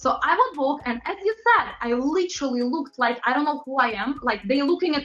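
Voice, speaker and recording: Against noticeable background noise, a woman talks at a fairly quick pace in a high pitch with lively intonation. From Latvia. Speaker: pop singer and model. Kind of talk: interview. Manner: animated.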